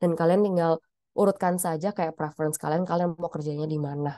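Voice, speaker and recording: The woman's voice sits fairly low and has a dark, mellow tone. The sound is dry and close with no echo, over a quiet background. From Indonesia, Surabaya (East Java). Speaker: pharmacist. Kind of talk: career webinar talk. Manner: hesitant, many fillers.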